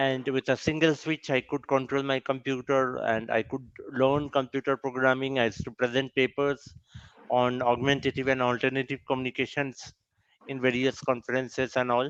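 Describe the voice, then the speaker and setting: A man with a Bengali accent in a monotone, flat delivery at a moderate pace, with a dry, close sound and no echo. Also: medium pitch for a man. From India, West Bengal. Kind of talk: personal testimony at a summit. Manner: halting, with fillers and self-corrections.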